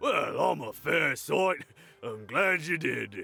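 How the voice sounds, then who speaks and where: This man uses a put-on character voice that sounds raspy. He speaks at a very slow pace. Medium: video game. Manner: nervous, laughing awkwardly.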